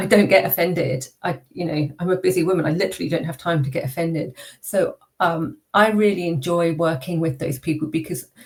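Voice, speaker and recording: A woman's somewhat breathy voice, fairly low in pitch, at a fairly quick pace with ordinary pitch variation. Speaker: public speaker and neurodiversity consultant. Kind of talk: interview. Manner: varied pitch and pace after vocal coaching.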